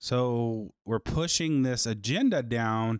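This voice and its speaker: A man on a very clean recording, silent background, and a dry, close sound with no echo. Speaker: podcast host. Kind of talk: angry rant. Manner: indignant, heated, emphatic; opinionated, sarcastic.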